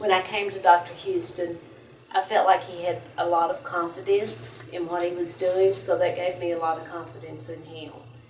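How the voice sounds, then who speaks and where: A woman with a fairly low pitch and ordinary pitch variation speaks at a moderate pace, her loudness swinging widely, with audible room echo and noticeable background noise. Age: 60s. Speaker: patient. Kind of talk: testimony. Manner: hesitant, many fillers.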